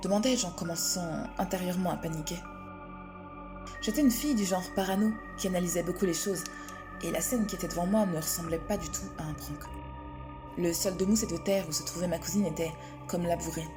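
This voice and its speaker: The speaker talks at a fairly quick pace with ordinary pitch variation and long, frequent pauses, with music in the background. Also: woman, fairly low pitch for a woman. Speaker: storyteller. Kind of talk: horror story narration.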